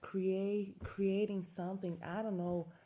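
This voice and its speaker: A woman's fairly low, dark, mellow voice with a non-native accent. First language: not English. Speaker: self-growth vlogger. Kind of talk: casual monologue. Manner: halting.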